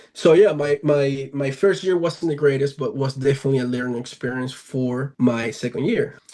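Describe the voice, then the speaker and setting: A man talks at a moderate pace with a dark, mellow tone and hardly any pauses. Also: fairly high pitch for a man, ordinary pitch variation. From Venezuela. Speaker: professional baseball player. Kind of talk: podcast interview. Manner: hesitant, many fillers.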